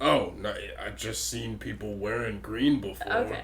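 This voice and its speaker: A man puts on a character voice and talks at a moderate pace, with clear background noise behind him. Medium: actual play. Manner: evasive, gruff.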